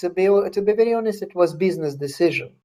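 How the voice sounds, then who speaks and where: A man speaks with a Russian accent at a high pitch. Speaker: author. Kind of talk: interview Q&A. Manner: halting.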